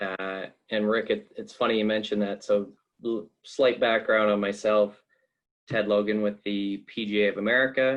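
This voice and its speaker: Monotone and flat in intonation, a man with a Canadian accent talks at a fairly low pitch. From Canada. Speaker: sports administrator. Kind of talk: panel presentation.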